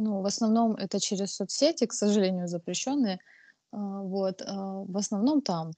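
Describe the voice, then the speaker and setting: A woman speaks at a moderate pace in a dark, mellow tone of medium pitch with ordinary pitch variation, the sound dry and close with no echo and the background quiet. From Russia, Krasnodar. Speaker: ceramic artist. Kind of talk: casual interview. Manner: hesitant, many fillers.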